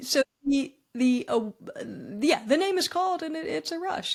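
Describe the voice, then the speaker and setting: A woman with an American accent talks at a moderate pace. Her pitch swings very widely over noticeable background noise. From US East Coast, Philadelphia. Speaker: public speaker and former entertainment professional. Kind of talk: podcast interview. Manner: halting, many repeated words.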